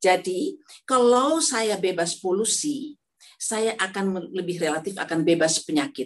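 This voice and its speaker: Her pitch moves up and down very widely. The woman keeps a moderate pace. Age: 70s. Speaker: elderly product user giving testimonial. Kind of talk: testimony. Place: home room. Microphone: phone near.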